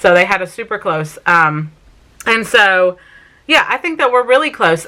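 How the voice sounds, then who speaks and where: A woman speaks fairly quickly with a South Carolina accent and ordinary pitch variation. Noticeable background noise runs underneath. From Vermont, US. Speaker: family vlogger. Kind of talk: casual Q&A vlog talk. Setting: sit-down home video.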